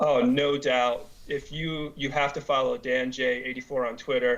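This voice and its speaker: A man with an American accent talks, keeping a moderate pace. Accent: Boston, slight, slips out. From Boston area, US. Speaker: fantasy sports website owner. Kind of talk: radio interview. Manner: hesitant, many fillers.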